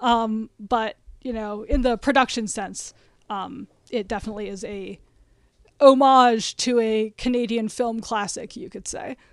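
A woman speaks at a fairly slow pace with fairly even intonation in a plain, everyday voice. The recording is very clean, with a silent background. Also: fairly high pitch for a woman, big swings in loudness. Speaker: podcast guest, film fan. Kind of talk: casual chat.

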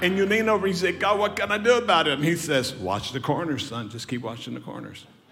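Very fast talk with very wide pitch swings and hardly any pauses, over noticeable background noise. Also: man, high pitch for a man. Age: 80s+. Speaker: guest preacher. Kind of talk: sermon. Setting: church. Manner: animated.

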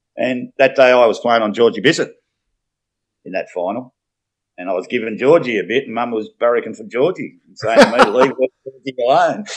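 A man with an Australian accent talks at a fairly quick pace, broken by long, frequent pauses. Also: big swings in loudness. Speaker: former local football player and coach. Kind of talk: casual chat. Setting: video call.

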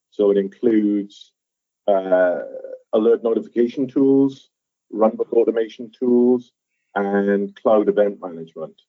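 Speaking at a fairly low pitch and a fairly slow pace, a man keeps his intonation fairly even and leaves long, frequent pauses. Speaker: software architect. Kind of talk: interview explanation.

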